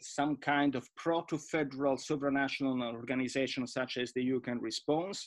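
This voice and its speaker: With an Italian accent, a man speaks in fairly even intonation over a quiet background. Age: 50s. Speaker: EU official and former MEP. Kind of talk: panel presentation. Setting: video call. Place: home room. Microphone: webcam.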